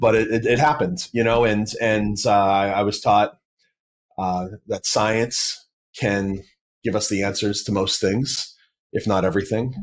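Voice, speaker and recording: A man with an American accent, fairly low in pitch, at a fairly slow pace. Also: ordinary pitch variation. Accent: Boston accent, comes and goes. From Massachusetts, South Shore near Boston. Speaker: apologist, former atheist. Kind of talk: podcast interview. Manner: halting, many fillers and restarts.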